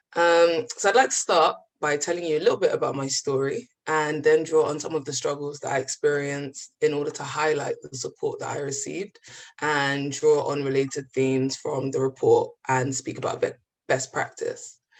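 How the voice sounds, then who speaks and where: A woman speaks with a London accent. Her pace is moderate. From East London, England (born in the Gambia). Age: 20s. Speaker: physics graduate sharing lived experience. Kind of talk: personal testimony.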